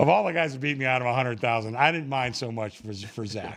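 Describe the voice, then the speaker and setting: A man's normal speaking voice, medium in pitch, with ordinary pitch variation, a fairly quick pace and a quiet background. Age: 60s. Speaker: sports bookmaker. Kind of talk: casual chat. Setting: studio.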